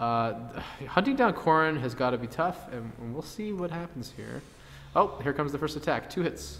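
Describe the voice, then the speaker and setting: A man with a slight Canadian accent. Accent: light Canadian. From Canada. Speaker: tournament commentator. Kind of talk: live commentary. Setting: game store live stream.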